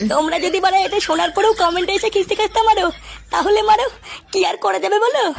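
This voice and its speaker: A woman speaks at an extremely high pitch with ordinary pitch variation. Noticeable noise sits in the background. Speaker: comedy channel host. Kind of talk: comedy skit.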